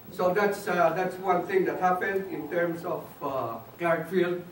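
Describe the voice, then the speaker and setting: High-pitched male voice at a moderate pace, with audible room echo and noticeable background noise. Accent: Filipino. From Philippines, Baguio. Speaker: speaker on Philippine development. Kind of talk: talk. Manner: halting.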